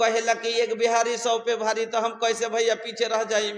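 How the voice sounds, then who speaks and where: This man's pitch is extremely high. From Bihar, India. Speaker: Islamic preacher. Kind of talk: religious sermon with humorous storytelling to a live audience. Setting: public gathering with PA system.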